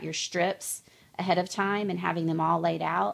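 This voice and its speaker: A woman's fairly low voice with vocal fry and fairly even intonation, on a very clean recording with a silent background. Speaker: crafter making clothes for her children. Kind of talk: tutorial. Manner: fast; casual with many fillers.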